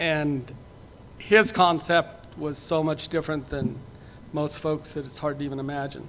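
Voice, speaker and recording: An ordinary speaking voice from a man, fairly high in pitch, with ordinary pitch variation, a moderate pace and big swings in loudness. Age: 60s. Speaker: rancher. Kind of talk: panel presentation.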